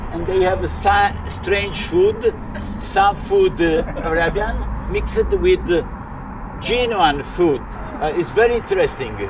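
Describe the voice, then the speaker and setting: Noticeable background noise beneath fairly slow speech, broken by long, frequent pauses. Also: man. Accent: Italian. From Italy, Tuscany. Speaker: local cycling tour guide. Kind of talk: guided tour talk. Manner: hesitant, many filler uhs.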